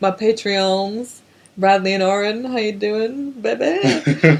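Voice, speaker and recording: In an English accent, a woman speaks at a medium pitch and a very slow pace. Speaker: podcast co-host. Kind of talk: casual chat. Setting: at co-host's house, one shared microphone.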